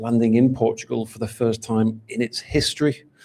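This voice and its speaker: A man with a Manchester accent speaks at a moderate pace with ordinary pitch variation. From northern England, Manchester. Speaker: golden visa specialist. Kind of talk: interview. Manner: halting, many fillers and repeats.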